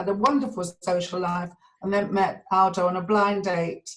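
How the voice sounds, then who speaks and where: A woman with a southern English accent speaks at a medium pitch. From London (Edgware). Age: 70s. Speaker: community member sharing memories. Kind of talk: personal reminiscence. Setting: video call.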